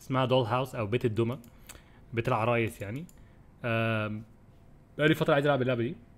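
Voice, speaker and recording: This man talks at a very fast pace. His intonation stays fairly even. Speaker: game streamer. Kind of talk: casual livestream chat. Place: home room. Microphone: studio mic.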